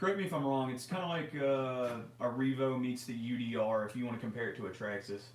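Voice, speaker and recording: A man with a Memphis accent at medium pitch, fairly quick and with lively intonation, amid audible room echo and noticeable background noise. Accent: Southern US (Memphis area). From US South, near Memphis, Tennessee. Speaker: RC hobby livestream co-host. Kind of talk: casual livestream chat. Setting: live stream.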